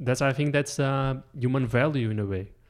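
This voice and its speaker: On a very clean recording with a silent background, a man with a normal speaking voice talks at a fairly quick pace and medium pitch. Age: 40s. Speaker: podcast host. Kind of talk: casual chat.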